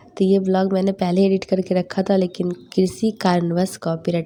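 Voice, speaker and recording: A woman speaks quietly at a moderate pace. Her medium-pitched voice has a dark, mellow tone. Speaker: home vlogger. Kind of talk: vlog voice-over. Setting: at home, family present. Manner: subdued, quiet.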